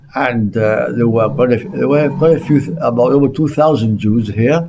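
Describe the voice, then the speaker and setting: There is noticeable background noise as a man speaks at a fairly quick pace. His medium pitch has ordinary variation. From Gibraltar. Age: 70s. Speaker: local historian. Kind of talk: interview. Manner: halting.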